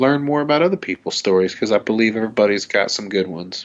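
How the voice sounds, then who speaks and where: This man speaks with a Southern US accent. His pitch sits fairly low. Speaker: podcast host. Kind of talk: casual chat. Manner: polished radio delivery.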